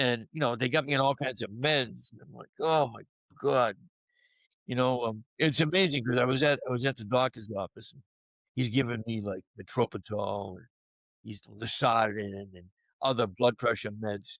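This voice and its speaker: A man with a Boston accent speaks at a moderate pace and medium pitch, with ordinary pitch variation. His loudness swings a lot, and the sound is dry and close with no echo. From Boston area, US. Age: 60s. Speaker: sports media personality and cancer survivor. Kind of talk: podcast interview. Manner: casual, conversational.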